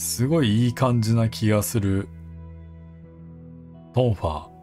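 A man's fairly low-pitched voice with lively intonation at a fairly slow pace, music in the background. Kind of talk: gameplay commentary. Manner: calm, not loud.

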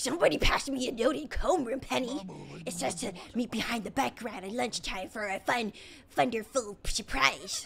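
A put-on character voice, female-sounding and fairly high in pitch, at a moderate pace over clear background noise. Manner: excited, crazy.

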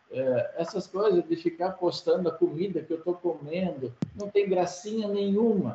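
A man with a high pitch speaks at a moderate pace with ordinary pitch variation. Audible room echo and light background noise come through. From Brazil, Rio Grande do Sul (rural interior). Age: 60s. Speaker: agricultural engineer, former company president; podcast guest. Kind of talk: interview. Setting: video call. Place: office. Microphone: video call.

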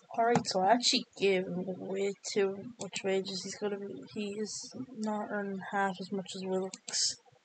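Speaking at a moderate pace and a medium pitch, a woman keeps her intonation fairly even but shows big swings in loudness. There is noticeable background noise. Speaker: video game streamer. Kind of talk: gameplay commentary, live football game stream. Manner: rambling, thinking aloud, flustered when pressured, then focused and muttering.

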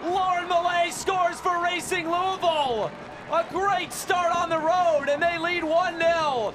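A man speaks in a raised, projected voice with an animated tone, his pitch extremely high and his pace fairly slow. Noticeable background noise runs underneath. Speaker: play-by-play commentator. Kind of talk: live sports commentary. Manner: animated, breathless exclamations.

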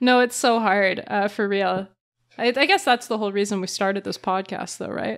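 In a Canadian accent, a woman with a normal speaking voice talks at a moderate pace and medium pitch, her intonation fairly even, on a very clean recording with a silent background. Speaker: podcast co-host, PhD student. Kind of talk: casual chat.

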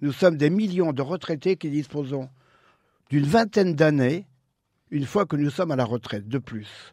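With lively intonation and long, frequent pauses, a man speaks at a moderate pace in a fairly high voice with a dark, mellow tone, on a very clean recording with a silent background. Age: 70s. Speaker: radio columnist. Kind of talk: radio chronicle.

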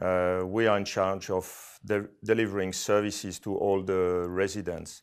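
Over a quiet background, a man talks at fairly low pitch and a fairly slow pace with monotone, flat intonation and hardly any pauses. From Switzerland. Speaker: corporate real property manager. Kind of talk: interview. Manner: halting, many fillers. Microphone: webcam.

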